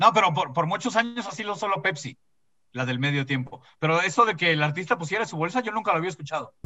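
Speaking at a very fast pace, a man with a Mexican accent uses a high pitch and lively intonation. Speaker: comedian podcast host. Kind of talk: casual chat.

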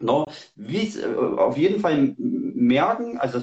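A man talks with pitch that swings very widely. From Saxony, Germany. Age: 40s. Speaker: hunter and tracking dog handler. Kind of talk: livestream interview. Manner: hesitant, many fillers.

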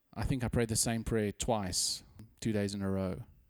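On a very clean recording with a silent background, a man with a South African accent speaks in a monotone, flat intonation at a fairly low pitch. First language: Afrikaans. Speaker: podcast co-host. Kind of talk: casual chat.

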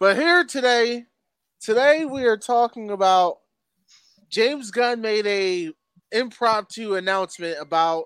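In an American accent, a man speaks very slowly with a high pitch and lively intonation. The sound is dry and close with no echo, on a very clean recording with a silent background. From Philadelphia. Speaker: podcast host. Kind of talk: casual chat.

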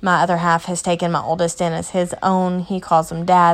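In a Kentucky accent, a woman speaks at a fairly low pitch. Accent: Southern US (Kentucky). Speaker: mother and home daycare provider podcaster. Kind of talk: casual personal monologue. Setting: at home, sitting in a recliner in the playroom.

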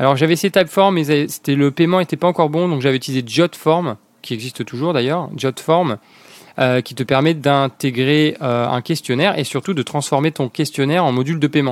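A man with an ordinary speaking voice talks at a moderate pace and a fairly high pitch with ordinary pitch variation, in a dry, close sound with no echo. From southern France, La Ciotat (Provence). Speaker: startup founder. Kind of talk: interview.

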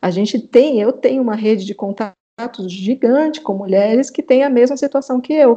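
At a moderate pace with hardly any pauses, the voice has a dark, mellow tone and ordinary pitch variation. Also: woman, high pitch for a woman. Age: 40s. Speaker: psychotherapist and mother. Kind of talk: casual interview.

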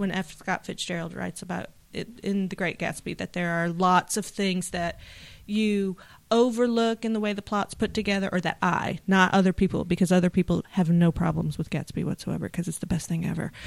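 A woman with an unremarkable speaking voice talks at a fairly quick pace, her pitch medium and her intonation fairly even. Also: very clean recording, silent background. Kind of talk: casual chat.

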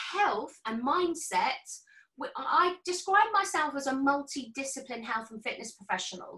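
Speaking at a fairly slow pace, a woman uses a raised, projected voice with a high pitch, a bright, sharp tone and very wide pitch swings. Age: 50s. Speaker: health and fitness professional. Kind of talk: casual chat.

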